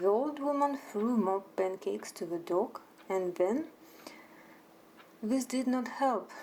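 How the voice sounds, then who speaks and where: A woman with a Russian accent talks at a very slow pace, her intonation lively. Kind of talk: sleep story. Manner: soft-spoken.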